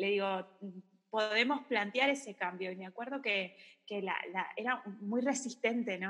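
Someone speaks at a moderate pace in an ordinary speaking voice. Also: woman. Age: 30s. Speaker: psychologist and yoga teacher. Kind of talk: casual chat.

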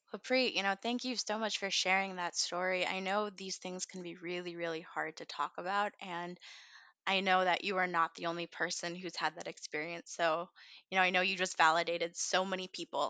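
Fairly low-pitched woman's voice, bright and sharp in tone, with fairly even intonation, dry and close with no echo, over a quiet background. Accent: American. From US, raised from age two (born India). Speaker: podcast co-host. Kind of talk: casual panel discussion.

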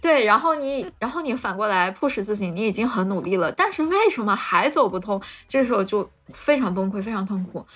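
With a normal speaking voice, a woman talks at a fairly quick pace using lively intonation. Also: fairly high pitch for a woman. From Lanzhou, northwest China. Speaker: molecular biology PhD, biotech researcher. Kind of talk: casual interview chat. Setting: remote online recording.

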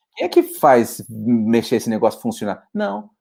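This man speaks at a fairly slow pace in a dark, mellow tone. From São Paulo, east side (Poá). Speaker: pilgrim hostel volunteer on the Camino. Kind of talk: casual interview chat.

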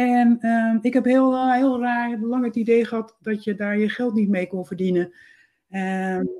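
In a very clean recording with a silent background, a woman with a dark, mellow tone speaks fairly slowly at a fairly high pitch. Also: ordinary pitch variation. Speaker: freelance copywriter and editor. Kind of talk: interview.

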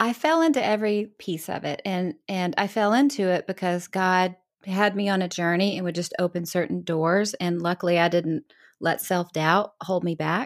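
Here is a woman with a plain, everyday voice at medium pitch and ordinary pitch variation. She speaks at a moderate pace on a very clean recording with a silent background. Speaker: author and speaker. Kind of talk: casual interview.

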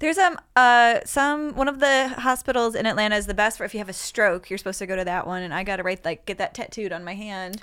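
In a very clean recording with a silent background, a woman with a fairly high pitch and a bright, sharp tone talks at a very fast pace with hardly any pauses and lively intonation. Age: 40s. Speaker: comedian and podcast host. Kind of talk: casual chat. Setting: studio.

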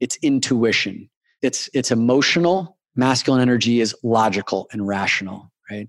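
In a very clean recording with a silent background, a man with a plain, everyday voice speaks at a moderate pace, medium in pitch with ordinary pitch variation. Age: 40s. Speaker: men's coach. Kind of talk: interview.

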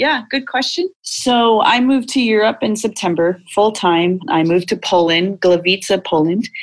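At a moderate pace, a normal speaking voice carries lively intonation and very even loudness in a very clean recording with a silent background. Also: woman, fairly high pitch for a woman. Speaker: performance coach. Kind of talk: interview conversation.

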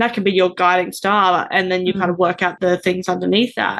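Here is a woman's normal speaking voice, medium in pitch, at a fairly quick pace. The background is quiet. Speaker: podcast host. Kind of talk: interview.

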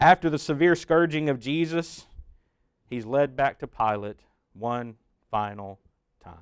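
Long, frequent pauses and big swings in loudness from a man at a fairly high pitch with lively intonation. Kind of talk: sermon. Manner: dramatic second-person retelling, building slowly with solemn, vivid detail; earnest, urgent appeal at the close.

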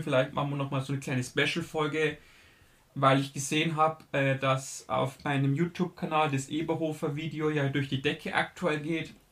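A man's fairly high, monotone voice with flat intonation comes through on a very clean recording with a silent background. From Bavaria, southern Germany. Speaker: film podcast host. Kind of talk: solo podcast monologue, film reviews. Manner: casual with frequent fillers.

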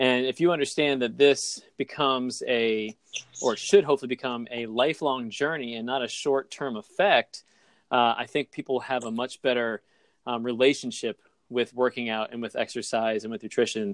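A man with a normal speaking voice, medium in pitch with ordinary pitch variation, talks at a moderate pace, the sound dry and close with no echo over a quiet background. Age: 40s. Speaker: fitness business owner and podcast host. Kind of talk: casual interview chat.

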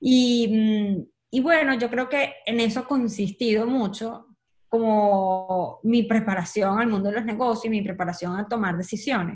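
In a Venezuelan accent, a woman with a somewhat breathy, fairly high voice and ordinary pitch variation speaks at a fairly slow pace. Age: 30s. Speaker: communicator and entrepreneur. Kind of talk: casual interview chat.

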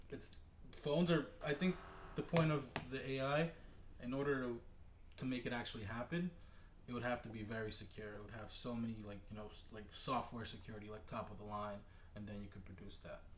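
A man speaks at medium pitch in a somewhat breathy voice, with ordinary pitch variation. He moves at a fairly quick pace, with big swings in loudness and long, frequent pauses. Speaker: podcast guest, automation maintenance supervisor. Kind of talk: casual chat.

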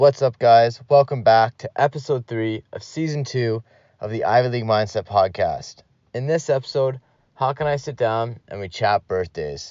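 This man's voice sits at a medium pitch, with ordinary pitch variation and big swings in loudness. He moves at a moderate pace in an unremarkable speaking voice. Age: 30s. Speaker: podcast host. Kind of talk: show intro and outro; casual chat.

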